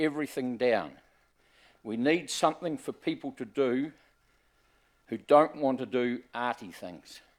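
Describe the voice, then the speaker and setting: On a very clean recording with a silent background, a man with a New Zealand accent and medium pitch speaks fairly slowly, with big swings in loudness and long, frequent pauses. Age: 70s. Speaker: member of the public making a submission. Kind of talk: public submission to council hearing. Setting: council chamber hearing.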